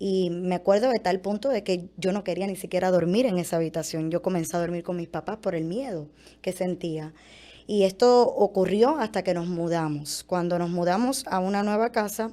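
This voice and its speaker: Ordinary pitch variation runs through a woman's dark, mellow tone. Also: moderate pace. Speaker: former model giving testimony. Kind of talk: testimony.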